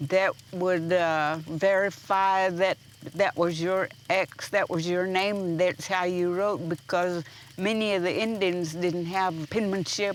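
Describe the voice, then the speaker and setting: Very slowly and in a monotone, flat intonation, a woman speaks at a medium pitch. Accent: American. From Oklahoma, Chickasaw community. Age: 90s. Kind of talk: personal storytelling. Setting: fireside gathering.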